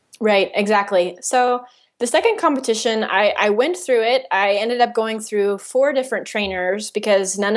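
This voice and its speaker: A woman's unremarkable speaking voice, fairly high in pitch with ordinary variation, at a fairly quick pace. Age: 20s. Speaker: podcast host and diet-recovery coach. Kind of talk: interview.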